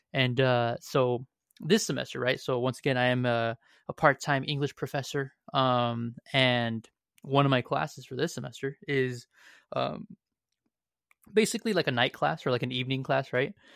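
On a very clean recording with a silent background and a dry, close sound with no echo, a man has a plain, everyday voice of medium pitch, speaking at a moderate pace with ordinary pitch variation. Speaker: podcast host. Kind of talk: casual chat. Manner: upbeat, chatty.

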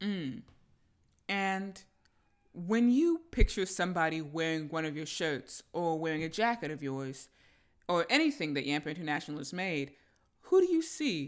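On a very clean recording with a silent background, a woman with an American accent speaks in a fairly low pitch. Her pace is moderate, her pitch variation ordinary, and her pauses long and frequent. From Tampa Bay, Florida. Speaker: podcast host. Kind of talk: interview, casual chat. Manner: upbeat, enthusiastic.

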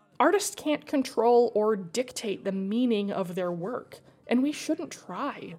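Over noticeable background noise, a woman talks at a very slow pace. Her pitch is fairly high and moves in very wide swings. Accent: American. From Idaho. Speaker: podcast host and fiction writer. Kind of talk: casual interview chat; scripted narration.

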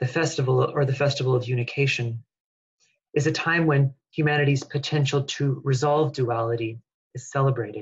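Speaking at a fairly quick clip, a man with a fairly high pitch sounds somewhat breathy, his intonation fairly even. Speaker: webinar host. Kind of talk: webinar welcome and guided meditation. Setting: video call.

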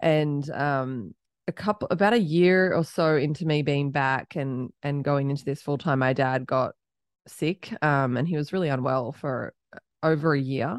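Moderate-paced speech in an Australian accent with ordinary pitch variation, a quiet background and a dry, close sound with no echo. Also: woman. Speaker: startup founder and CEO. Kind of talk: casual interview conversation.

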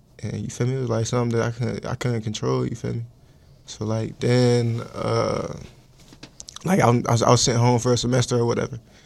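Amid noticeable background noise, a man speaks at a fairly quick pace in a monotone, flat intonation. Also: medium pitch for a man. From Georgia. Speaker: college football player. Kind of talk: casual chat. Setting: studio.

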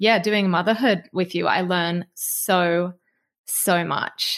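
A woman at medium pitch in an Australian accent, fairly slow and monotone, flat in intonation, on a very clean recording with a silent background. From Australia (Snowy Mountains). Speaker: podcast host, former ski racer. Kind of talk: casual chat.

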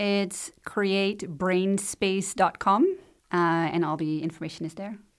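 A woman with a Dutch accent, medium-pitched and fairly even in intonation, at a fairly slow pace, on a very clean recording with a silent background. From Netherlands. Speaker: life and business coach. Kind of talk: casual interview.

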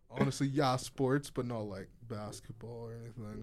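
In a plain, everyday voice, a man talks at a medium pitch with ordinary pitch variation. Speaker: podcast co-host, student. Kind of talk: casual chat. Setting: studio.

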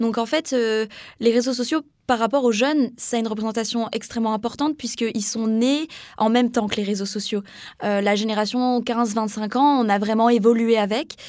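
A woman with an unremarkable speaking voice, fairly high in pitch, at a moderate pace with fairly even intonation. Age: 20s. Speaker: young communications student. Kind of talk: interview.

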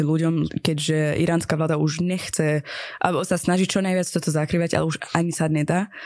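The speaker has a Persian accent. The intonation stays monotone and flat. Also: woman. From Iran. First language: Persian (speaking Slovak). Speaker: comedian and theatre maker. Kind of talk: interview. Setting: studio. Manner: halting.

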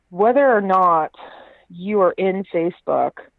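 A woman speaks with an American accent. Her voice is medium in pitch. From Texas, Houston. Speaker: startup CEO and futurist. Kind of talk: interview.

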